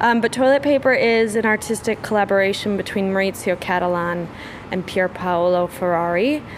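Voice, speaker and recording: At a fairly quick pace, a woman talks in a plain, everyday voice, medium in pitch with ordinary pitch variation. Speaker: art fair programming director. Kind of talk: interview. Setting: art fair tent.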